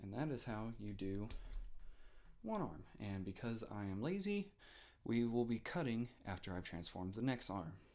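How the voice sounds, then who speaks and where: Soft-spoken, a man talks with lively intonation. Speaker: toy reviewer. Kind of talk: product review and transformation tutorial. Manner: hesitant, many fillers.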